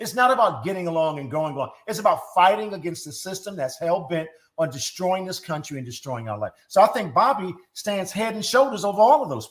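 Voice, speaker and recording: A high-pitched male voice, fairly quick and animated, with lively intonation and big swings in loudness. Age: 60s. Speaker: political advisor and activist. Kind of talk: interview.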